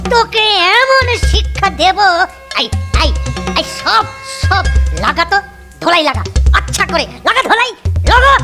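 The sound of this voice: A man's cartoonish character voice, bright and sharp, at an extremely high pitch with big pitch swings and few pauses, over faint music in the background. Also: fairly slow pace.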